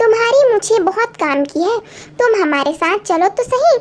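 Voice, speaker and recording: A woman does a squeaky put-on character voice at an extremely high pitch, with clear background noise. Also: moderate pace. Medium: read story.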